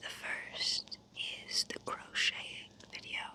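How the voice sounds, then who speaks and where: The words come in a whisper, delivered very slowly. Behind them, background noise is noticeable. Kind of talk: ASMR whispered talk to camera. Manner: whispered, soft-spoken.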